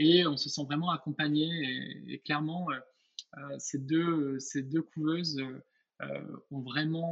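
A man with a fairly high pitch talks very slowly, his intonation flat and monotone. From southwest France, Lot-et-Garonne. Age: 30s. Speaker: perfume company founder. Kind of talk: interview. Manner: hesitant, with repeated words and fillers.

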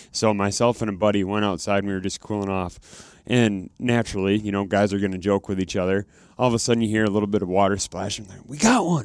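A man races at a very fast pace with hardly any pauses, his fairly low voice holding fairly even intonation but big swings in loudness, on a very clean recording with a silent background. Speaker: co-host. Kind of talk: casual podcast interview.

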